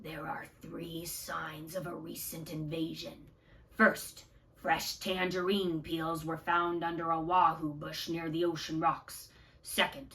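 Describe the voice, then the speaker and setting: A woman puts on a raspy character voice, fairly low in pitch and solemn in tone. She goes at a fairly slow pace with fairly even intonation and big swings in loudness. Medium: read story. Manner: low, solemn whispers.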